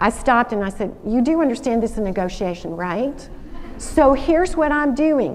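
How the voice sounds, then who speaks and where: With a Southern US accent, a woman speaks at a moderate pace in an animated tone, her pitch high and her intonation lively, with audible room echo. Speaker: alumna speaker, former lawyer. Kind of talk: school assembly talk. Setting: stage with audience. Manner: animated storytelling.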